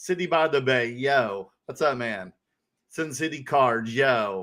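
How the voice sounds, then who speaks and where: A man with a Southern accent, medium pitch and a bright, sharp tone, at a very slow pace on a very clean recording with a silent background. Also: ordinary pitch variation. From US South, North Carolina. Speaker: podcast co-host. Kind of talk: casual chat. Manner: animated.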